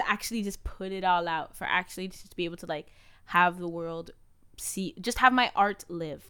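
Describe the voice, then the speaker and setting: Recorded very cleanly against a silent background, a woman with a medium pitch speaks at a moderate pace in a bright, sharp, animated tone with ordinary pitch variation. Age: 20s. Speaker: podcast co-host. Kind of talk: casual chat.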